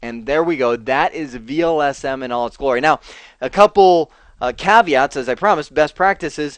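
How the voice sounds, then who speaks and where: A man with an unremarkable speaking voice talks at a fairly quick pace and fairly high pitch, with ordinary pitch variation. The background is quiet, and the sound is dry and close with no echo. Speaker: networking instructor. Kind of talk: tutorial. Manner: casual, conversational.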